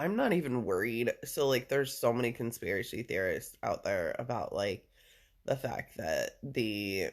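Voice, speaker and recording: The recording of a man speaking is very clean, with a silent background. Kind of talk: casual chat. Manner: casual with many fillers.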